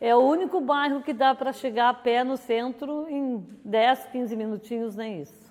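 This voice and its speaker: At a fairly slow pace, a woman with a southern Brazilian accent speaks in a high pitch with big swings in loudness. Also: ordinary pitch variation, hardly any pauses. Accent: Rio Grande do Sul (gaúcho) Portuguese. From southern Brazil, Cachoeira do Sul. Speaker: neighborhood resident. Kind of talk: interview testimony.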